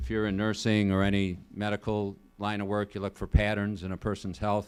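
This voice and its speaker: Fairly quick pace on a very clean recording with a silent background. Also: man. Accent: Chicago. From Illinois, Joliet. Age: 60s. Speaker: state senator. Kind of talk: public talk. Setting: college event with student audience. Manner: conversational, with some stumbles.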